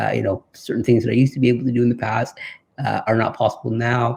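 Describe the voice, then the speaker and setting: Somewhat breathy and monotone, a man with a Canadian accent speaks at a fairly quick pace with medium pitch and flat intonation. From Canada (Toronto). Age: 30s. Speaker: interviewee living with muscular dystrophy. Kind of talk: interview testimony. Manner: halting, many fillers.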